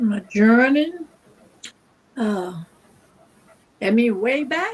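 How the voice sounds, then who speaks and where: A woman talks at a very slow pace. Her fairly high voice moves with lively intonation. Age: 80s+. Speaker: cancer survivor. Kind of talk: interview. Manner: halting.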